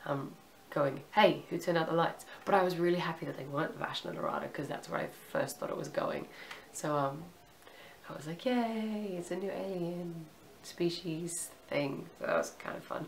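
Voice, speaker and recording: A woman speaks at a moderate pace in a fairly low voice with ordinary pitch variation. Noticeable background noise runs underneath. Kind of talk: casual review to camera. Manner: hesitant, casual.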